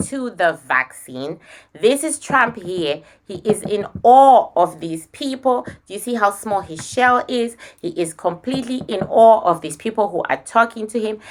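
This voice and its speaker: A woman with a non-native accent talks at a fairly high pitch, her voice making very wide pitch swings. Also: big swings in loudness. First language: not English. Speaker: spiritual medium. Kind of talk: psychic reading.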